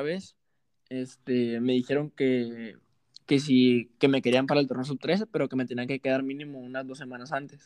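A man with a normal speaking voice talks at a medium pitch and a fairly quick pace, with fairly even intonation. The sound is dry and close with no echo, over a quiet background. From Mexico, Sinaloa (Los Mochis, rural ranch). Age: 20s. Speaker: professional football striker. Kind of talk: casual interview chat.

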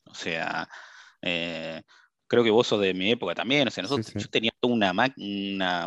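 In a dry, close recording with no echo and a quiet background, a man talks at a moderate pace in an ordinary speaking voice, fairly low in pitch, with ordinary pitch variation. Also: big swings in loudness. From Brazil. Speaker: cybersecurity professional. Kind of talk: interview.

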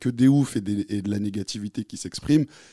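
The recording is very clean and the background silent. A man's tone comes across dark and mellow. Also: dry, close sound with no echo. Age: 30s. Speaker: audience member. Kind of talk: live podcast discussion.

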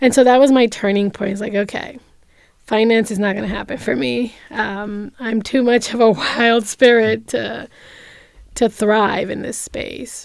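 With an unremarkable speaking voice, a woman talks at a fairly slow pace and a fairly high pitch with fairly even intonation. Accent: American. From New York City (Bronx), Dominican-born. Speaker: social entrepreneur. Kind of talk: interview.

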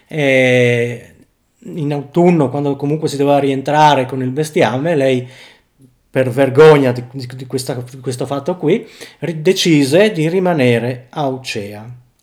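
A man's fairly high voice, a normal speaking voice, fairly slow, with ordinary pitch variation and big swings in loudness. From Friuli, northeastern Italy (Tarcento). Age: 40s. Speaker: factory worker. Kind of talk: casual interview chat.

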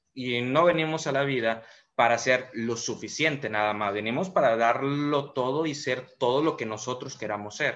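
Here is a man with an unremarkable speaking voice, medium in pitch with ordinary pitch variation. He moves at a moderate pace, and the recording is very clean with a silent background. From Mérida, Yucatán, Mexico. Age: 30s. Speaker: entrepreneur and motivational speaker. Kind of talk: motivational monologue.

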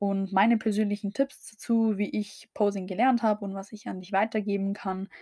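At a moderate pace, a woman with a dark, mellow, somewhat breathy tone speaks at a medium pitch in a monotone, flat intonation, recorded dry and close with no echo. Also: hardly any pauses. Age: 20s. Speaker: podcast host, bikini fitness athlete. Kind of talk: solo podcast introduction.

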